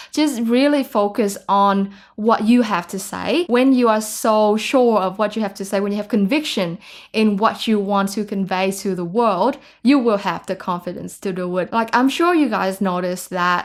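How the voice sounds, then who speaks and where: Here a woman speaks at a moderate pace and medium pitch with ordinary pitch variation. It is a very clean recording with a silent background. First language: Vietnamese. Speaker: YouTuber. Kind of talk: vlog monologue.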